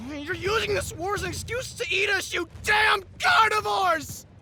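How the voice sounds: A put-on character voice shouts at a moderate pace with a bright, sharp tone and ordinary pitch variation. Faint music sits in the background.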